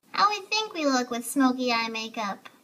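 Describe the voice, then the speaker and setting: Raised and projected, a squeaky woman's voice moves at a fairly quick pace, swinging very widely in pitch with a playful tone. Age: 20s. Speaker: short comedy video creator. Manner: playful, quirky.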